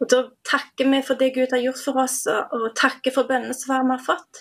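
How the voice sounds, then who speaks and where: A woman's high-pitched voice comes through at a moderate pace. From Dirdal, Rogaland, Norway. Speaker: national coordinator of a prayer organisation. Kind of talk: radio interview.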